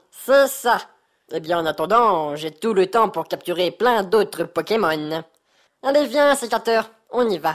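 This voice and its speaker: A female-sounding voice at a fairly high pitch uses lively intonation and takes long, frequent pauses. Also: moderate pace. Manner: smug, boastful.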